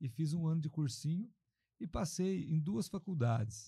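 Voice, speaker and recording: A man speaks with a dark, mellow tone and a somewhat breathy quality. His intonation is lively. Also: very clean recording, silent background. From interior of São Paulo state, Alta Mogiana near Franca. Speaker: mayor and politician, former doctor. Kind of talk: podcast interview.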